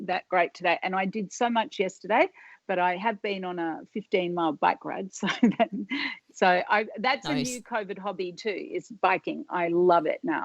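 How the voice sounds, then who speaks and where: With an Australian accent, a woman talks at a medium pitch and moderate pace with lively intonation. The sound is dry and close with no echo, over a quiet background. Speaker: hair salon owner. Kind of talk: interview answer.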